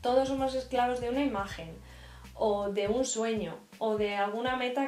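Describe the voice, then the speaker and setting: Fairly high female voice at a moderate pace with fairly even intonation, audible room echo, and faint music in the background. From Spain. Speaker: YouTuber; vlogger. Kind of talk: faith vlog monologue. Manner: hesitant with repetitions. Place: home room. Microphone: camera far.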